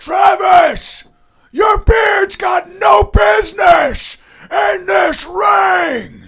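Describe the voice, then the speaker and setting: A shouted, put-on character voice at a very slow pace with very wide pitch swings. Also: man, extremely high pitch for a man. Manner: heckling.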